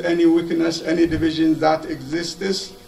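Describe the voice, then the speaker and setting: Noticeable background noise sits behind a man whose pitch is high. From Ethiopia. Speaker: speaker at community vigil. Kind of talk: public speech. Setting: vigil with audience. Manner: halting, many fillers.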